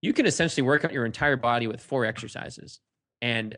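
A man with an American accent, an ordinary speaking voice at medium pitch, fairly quick pace, quiet background. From Cape Cod, Massachusetts. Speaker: fitness blogger and entrepreneur. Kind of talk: casual interview.

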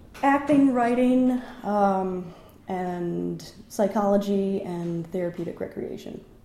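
A woman with an American accent and a dark, mellow tone, speaking at a very slow pace with ordinary pitch variation amid audible room echo. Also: medium pitch for a woman. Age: 30s. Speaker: actor and writer. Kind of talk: casual interview conversation. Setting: at guest's home.

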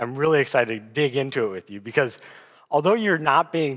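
On a very clean recording with a silent background, a man with an American accent and a fairly high pitch talks at a moderate pace in an unremarkable speaking voice. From US Midwest (South Dakota). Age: 20s. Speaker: guest preacher. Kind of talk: sermon.

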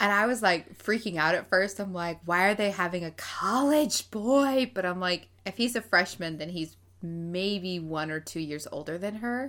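A woman speaks at a moderate pace with a medium pitch. Her intonation is lively. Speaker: podcast co-host. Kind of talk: casual chat. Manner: talkative.

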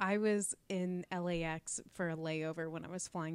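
A woman's normal speaking voice, fairly low-pitched, with fairly even intonation. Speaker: podcast host. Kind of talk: casual chat.

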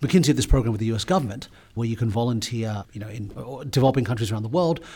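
Speaking with an Australian accent, a man talks at a very fast pace. His voice is medium in pitch and somewhat breathy. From Sydney, Australia (North Shore). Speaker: business executive. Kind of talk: interview.

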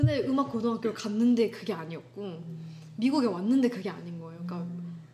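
A woman at a very fast pace, lively intonation and big swings in loudness, with noticeable background noise. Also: medium pitch for a woman. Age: 20s. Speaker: music student, singer. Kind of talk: casual chat. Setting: recorded at home.

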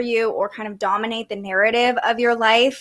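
At a fairly quick pace, a woman speaks in a normal speaking voice with a fairly high pitch. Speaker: podcast host and astrologer. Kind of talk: casual interview. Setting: live stream.

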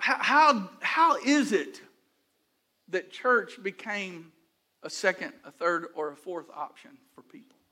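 A man with an American accent speaks at a very slow pace in a raised, projected voice, leaving long, frequent pauses. His high-pitched, bright, sharp tone makes very wide pitch swings and big swings in loudness. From Houston, Texas. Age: 60s. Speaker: pastor. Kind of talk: sermon.

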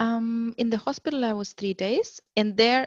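Somewhat breathy and fairly high in pitch, a woman speaks at a fairly slow pace in a dry, close sound with no echo. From Germany. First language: German. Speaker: mother sharing birth story. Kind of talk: testimony.

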